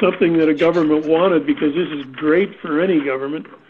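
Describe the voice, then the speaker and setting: This man talks at a fairly quick pace with a Canadian accent and ordinary pitch variation. Noticeable background noise runs behind him. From Canada. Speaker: safety consultant. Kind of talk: panel discussion.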